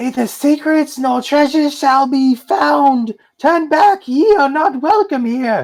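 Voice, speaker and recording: A put-on character voice with a high pitch moves at a fairly slow pace. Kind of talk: archaic, formal warning.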